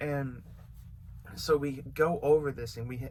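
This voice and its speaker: A man with an American accent speaks amid audible room echo. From California. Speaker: YouTuber and beat maker. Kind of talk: storytime vlog. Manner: casual, filler-heavy.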